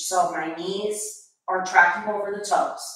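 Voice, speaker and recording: Ordinary pitch variation carries speech at a fairly slow pace, with strong room echo. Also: woman. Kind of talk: tutorial. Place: gym. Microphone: camera far.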